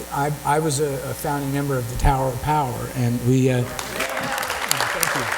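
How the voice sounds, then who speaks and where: Amid crowd noise and audible room echo, a man speaks at a moderate pace and a medium pitch in a monotone, flat intonation. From San Francisco Bay Area. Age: 60s. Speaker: musician. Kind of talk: casual chat. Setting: stage with audience.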